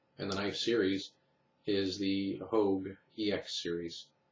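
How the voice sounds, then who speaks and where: The voice is somewhat breathy, with monotone, flat intonation. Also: man. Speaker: knife reviewer. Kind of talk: product review. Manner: fast.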